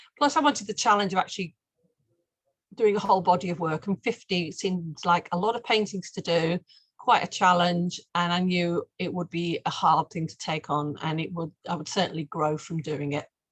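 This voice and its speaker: A woman with a Mancunian accent speaks at a moderate pace in a somewhat breathy voice, fairly low in pitch with ordinary variation, on a dry, close recording with no echo. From Manchester, England. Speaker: painter. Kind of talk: interview talk about her art project.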